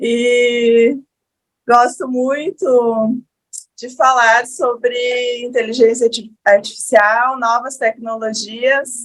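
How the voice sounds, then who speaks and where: In a strong Rio Grande do Sul accent, a woman speaks with a high pitch at a very slow pace. Her intonation is fairly even, but her loudness swings a lot. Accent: strong gaúcho Brazilian. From Rio Grande do Sul, southern Brazil. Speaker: lawyer, panelist. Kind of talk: panel talk.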